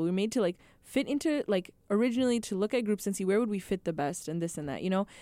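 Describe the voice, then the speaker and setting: With a dark, mellow tone and an American accent, a woman talks at a very fast pace. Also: dry, close sound with no echo. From Minneapolis-Saint Paul, Minnesota. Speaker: biology student and phlebotomist. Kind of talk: casual chat. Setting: studio.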